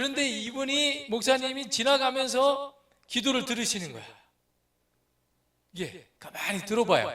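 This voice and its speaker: A man's extremely high, raised and projected voice at a fairly slow pace, with ordinary pitch variation, big swings in loudness and long, frequent pauses. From Korea, Chungcheong (North Chungcheong, Boeun). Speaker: missionary pastor. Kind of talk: sermon. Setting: church. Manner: slow speech.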